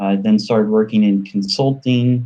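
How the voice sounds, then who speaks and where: With an American accent, a man speaks at a moderate pace in a fairly low pitch, his tone dark and mellow and his intonation fairly even. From US, New York. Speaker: panelist, security tech entrepreneur. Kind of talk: panel discussion.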